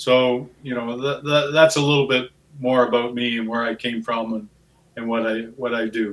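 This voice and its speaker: Delivered at a moderate pace with an Ontario accent, the speech stays monotone with flat intonation. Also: man, medium pitch for a man. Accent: Ontario Canadian English. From southwestern Ontario, Canada. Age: 60s. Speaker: farmer. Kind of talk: interview.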